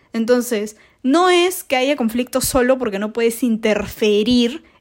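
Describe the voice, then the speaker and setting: In a very clean recording with a silent background, a woman talks at a moderate pace in a high pitch. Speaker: podcast host, international relations student. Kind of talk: casual educational monologue.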